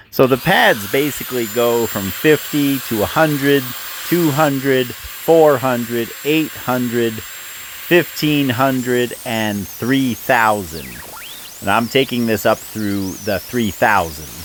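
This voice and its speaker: Amid noticeable background noise, a man talks at a medium pitch and a very slow pace with ordinary pitch variation. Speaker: stone fabricator and lapidary hobbyist. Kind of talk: tutorial. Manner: loud.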